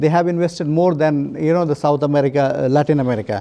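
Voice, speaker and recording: Fairly quick delivery in a man's dark, mellow tone. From India. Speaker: bank official. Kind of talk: interview. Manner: halting, many fillers. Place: home room. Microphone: lapel.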